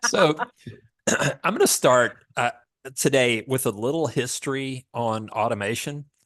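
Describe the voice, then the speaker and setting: Speaking in a Southern US accent, a man goes at a fairly slow pace with long, frequent pauses. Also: medium pitch for a man, ordinary pitch variation. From US South. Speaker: product manager for pool automation. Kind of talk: webinar presentation. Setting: online webinar.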